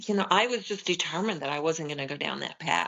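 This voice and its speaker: A woman speaks in a very deep, low pitch with vocal fry. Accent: American. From Nebraska, US Midwest. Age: 70s. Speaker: holistic nutrition expert. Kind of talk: interview conversation.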